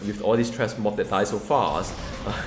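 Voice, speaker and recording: Speaking at a fairly quick pace, a man is heard with audible room echo and noticeable background noise. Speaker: gaming YouTuber. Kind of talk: gameplay commentary. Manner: fast; animated.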